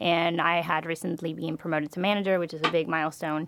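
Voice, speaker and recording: On a very clean recording with a silent background, a woman with a Spanish accent speaks at a fairly low pitch with fairly even intonation. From Venezuela. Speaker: MBA student. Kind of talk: interview. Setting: studio.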